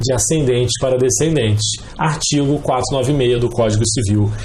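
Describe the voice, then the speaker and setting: Lively intonation marks this man's speech at a moderate pace. Audible room echo and noticeable background noise are both present. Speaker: law professor. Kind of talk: lecture.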